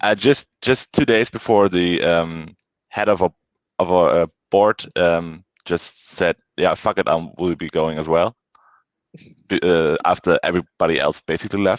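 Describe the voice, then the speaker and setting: A man speaks in a German accent at a fairly slow pace, his pitch very deep and low. His intonation is fairly even, and the sound is dry and close with no echo. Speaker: football fan guest. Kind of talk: casual chat. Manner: halting, many fillers.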